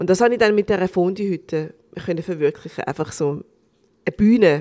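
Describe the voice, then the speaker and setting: In an ordinary speaking voice, a woman talks at a fairly low pitch with lively intonation and big swings in loudness. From Switzerland. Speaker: restaurant owner and actress. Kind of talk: casual chat.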